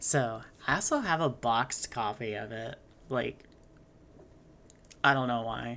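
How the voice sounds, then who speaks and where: Soft-spoken, a woman talks here. Her pitch is very deep and low. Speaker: game streamer. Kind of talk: live gameplay commentary. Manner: halting, many fillers.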